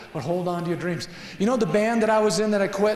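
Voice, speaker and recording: Male voice at a very fast pace, ordinary pitch variation, noticeable background noise. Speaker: singer, songwriter and motivational speaker. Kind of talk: motivational talk to students. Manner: upbeat, casual.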